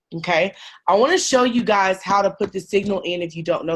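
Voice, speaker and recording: A woman with an ordinary speaking voice talks at a medium pitch, her intonation fairly even against a quiet background. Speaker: trading team leader. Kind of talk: tutorial.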